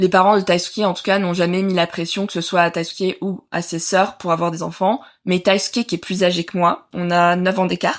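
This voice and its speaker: Speaking at a moderate pace with hardly any pauses, a woman keeps a medium pitch and a monotone, flat intonation. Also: very clean recording, silent background. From southern France, Nice. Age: 30s. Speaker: mother sharing birth story. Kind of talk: interview testimony. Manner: hesitant, many filler sounds.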